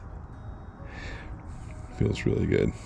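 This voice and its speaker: A man speaks over noticeable background noise. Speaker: nature vlogger. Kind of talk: casual outdoor vlog narration. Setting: outdoors by the water.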